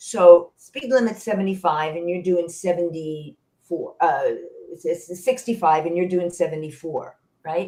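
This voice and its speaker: Somewhat breathy, a woman talks at a fairly slow pace with a fairly low pitch. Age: 70s. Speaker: senior tech teacher. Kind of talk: interview answer.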